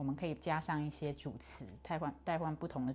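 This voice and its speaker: The background is silent on a very clean recording. The speaker is a woman. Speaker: English pronunciation learner. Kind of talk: casual talk to camera.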